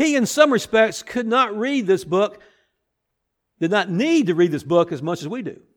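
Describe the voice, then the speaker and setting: In a very clean recording with a silent background, a man speaks at a high pitch with very wide pitch swings. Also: moderate pace. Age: 60s. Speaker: pastor. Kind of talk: sermon.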